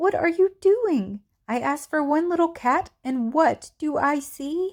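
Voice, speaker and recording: Putting on a squeaky character voice with a high pitch, a woman speaks at a fairly slow pace. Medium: read story.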